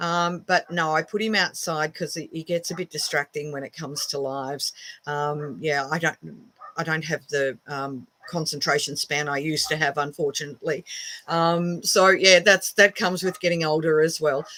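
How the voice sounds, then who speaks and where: A woman with an Australian accent, very deep and low in pitch, at a moderate pace with fairly even intonation. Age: 60s. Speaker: witchcraft teacher and shop owner. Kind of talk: casual live stream talk. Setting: home office. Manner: hesitant, many fillers.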